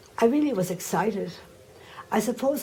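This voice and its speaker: A woman speaks with an Irish accent in a dark, mellow tone. Her voice is somewhat breathy, with audible room echo. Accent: Irish, still noticeable. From Ireland. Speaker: religious sister, former teacher. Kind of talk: oral history interview.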